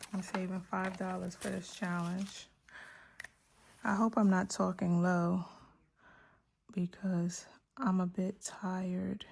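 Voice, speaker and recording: A somewhat breathy woman speaks at a very slow pace with long, frequent pauses and monotone, flat intonation on a very clean recording with a silent background. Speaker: budgeting youtuber. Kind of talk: casual tutorial. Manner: quiet, lower than usual.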